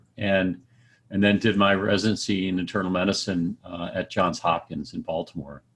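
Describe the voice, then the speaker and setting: On a very clean recording with a silent background, a man with an American accent speaks at a fairly low pitch with fairly even intonation. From New Jersey. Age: 50s. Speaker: transplant doctor. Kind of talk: interview. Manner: halting.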